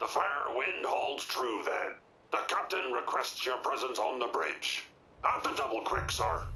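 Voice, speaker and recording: A man puts on a character voice at a moderate pace, with clear background noise behind him. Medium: video game. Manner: formal, archaic.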